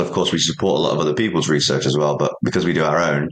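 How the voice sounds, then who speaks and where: A man talks at a very fast pace. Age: 30s. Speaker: supplement company founder. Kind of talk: interview. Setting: office, remote interview.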